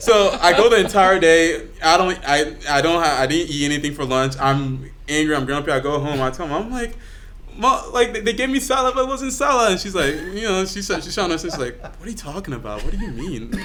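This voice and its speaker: Through audible room echo and noticeable background noise, a man speaks at a high pitch with very wide pitch swings. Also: fairly quick pace. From Liberia, moved to US at seven. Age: 20s. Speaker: church member. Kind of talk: casual chat. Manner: halting, repeats words.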